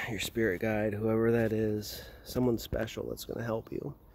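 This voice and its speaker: Soft-spoken and at a medium pitch, a man talks in a monotone, flat intonation over light background noise. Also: dry sound with no echo. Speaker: hypnotist guiding a meditation. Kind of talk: guided meditation, slow soothing hypnotic delivery. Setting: outdoors on a burial mound in Norway. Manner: slow. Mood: calm, soothing. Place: open country. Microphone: phone near.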